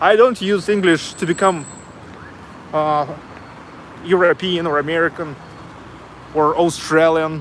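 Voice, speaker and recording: Over noticeable background noise, a man with a Russian accent speaks high in pitch at a fairly slow pace, with fairly even intonation and long, frequent pauses. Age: 30s. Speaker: travel vlogger. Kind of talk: casual chat. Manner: halting.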